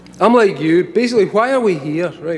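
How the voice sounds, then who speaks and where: Against noticeable background noise, a man speaks at a fairly quick pace with a Scottish accent. His intonation is lively. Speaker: speaker addressing a live audience, comic writer. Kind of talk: informal. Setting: stage. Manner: casual, profane, conversational.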